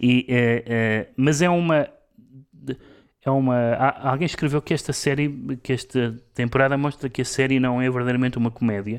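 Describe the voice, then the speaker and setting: A man talks at a medium pitch and a moderate pace, with fairly even intonation and very even loudness. The recording is very clean, with a silent background. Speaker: radio co-host and literary critic. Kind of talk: casual cultural discussion. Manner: halting, many repetitions.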